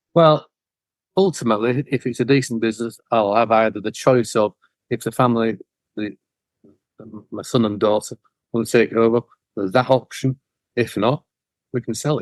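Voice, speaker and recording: Speaking with a Yorkshire accent, a man at medium pitch moves at a fairly quick pace. He leaves long, frequent pauses. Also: ordinary pitch variation, dry, close sound with no echo. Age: 50s. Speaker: cleaning business owner. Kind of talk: interview.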